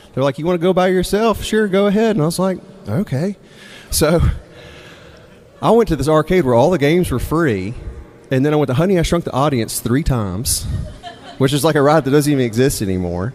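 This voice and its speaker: A man with an American accent, fairly high in pitch, with very wide pitch swings, long, frequent pauses, and noticeable background noise. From Mississippi, US South. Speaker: storyteller and songwriter. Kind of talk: live storytelling. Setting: stage with audience. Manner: casual, conversational with hesitations.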